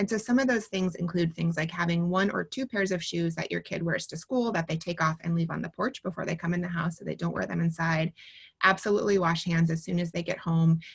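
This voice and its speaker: A somewhat breathy woman with a fairly low pitch talks very fast, with ordinary pitch variation. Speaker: pediatrician. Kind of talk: webinar Q&A.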